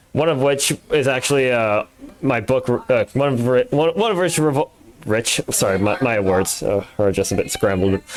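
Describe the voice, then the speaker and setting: Against noticeable background noise, a man talks at a moderate pace and medium pitch with lively intonation and very even loudness. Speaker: podcast host. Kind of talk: casual chat. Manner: halting.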